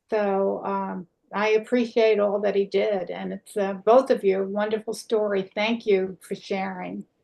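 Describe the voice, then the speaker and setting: A woman with an American accent speaks at medium pitch and a fairly slow pace. Her intonation is monotone and flat, with hardly any pauses. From United States. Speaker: event organizer. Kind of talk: casual chat. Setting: video call.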